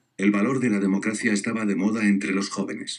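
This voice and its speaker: Talking at a fairly quick pace in an unremarkable speaking voice, a man keeps a fairly low pitch and fairly even intonation. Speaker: education student. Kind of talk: scripted narration.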